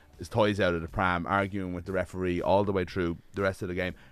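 Very deep, low-pitched man with an Irish accent against a quiet background. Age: 30s. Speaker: sports journalist. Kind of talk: casual chat.

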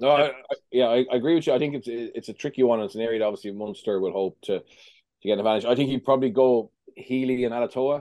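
Speaking very fast in an Irish accent, a man keeps a medium pitch with ordinary variation. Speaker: rugby pundit. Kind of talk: podcast analysis.

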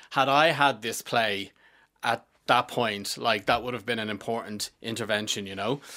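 Recorded very cleanly over a silent background, a man talks at a moderate pace with a bright, sharp tone, medium pitch and ordinary pitch variation. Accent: Dublin. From Dublin, Ireland (Finglas). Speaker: theatre writer and director. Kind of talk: casual interview. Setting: studio.

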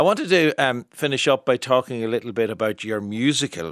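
Recorded with a dry, close sound with no echo and a quiet background, the speech moves at a fairly quick pace. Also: man. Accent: Irish. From Ireland. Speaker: radio arts programme host. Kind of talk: radio interview programme. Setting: studio.

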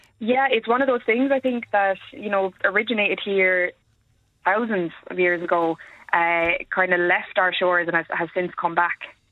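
In an Irish accent, a woman speaks at a medium pitch. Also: ordinary pitch variation, moderate pace. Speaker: historian. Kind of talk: radio phone-in.

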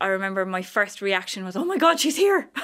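A woman talks with a Cork accent. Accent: Cork Irish. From Ireland, County Cork. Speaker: visually impaired advocate. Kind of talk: radio interview. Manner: animated.

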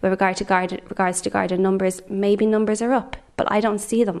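A woman talks with a Dublin accent. Her pitch is medium and her pace moderate. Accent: Dublin Irish. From Ireland, Dublin. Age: young. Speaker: member of the public. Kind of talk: testimony.

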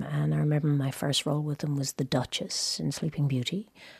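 A woman with a slight Irish accent speaks at a fairly quick pace in a very deep, low, somewhat breathy voice, the sound dry and close with no echo on a very clean recording with a silent background. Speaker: actress. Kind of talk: casual chat. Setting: studio. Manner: animated.

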